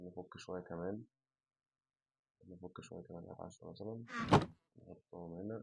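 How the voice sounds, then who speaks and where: This man's voice has a dark, mellow tone. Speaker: gaming YouTuber. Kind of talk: gameplay commentary. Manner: casual, chatty.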